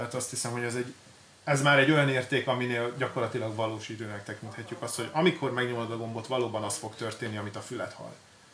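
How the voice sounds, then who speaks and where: The speech comes at a very fast pace, with fairly even intonation but big swings in loudness. Noticeable background noise sits behind it. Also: man, medium pitch for a man. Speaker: DJ equipment shop expert. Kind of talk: casual product presentation. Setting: studio.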